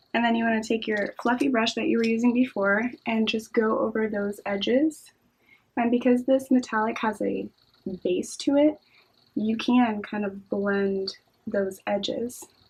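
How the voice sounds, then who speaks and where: A woman speaks at a fairly slow pace in a fairly high, somewhat breathy voice. Her intonation is fairly even. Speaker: beauty youtuber. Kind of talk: makeup tutorial. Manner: casual, conversational.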